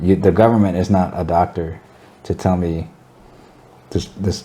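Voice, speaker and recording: Mumbling at a fairly quick pace, a man speaks in a very deep, low pitch with fairly even intonation. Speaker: cannabis enthusiast guest. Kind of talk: casual chat. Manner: slurred, mumbling.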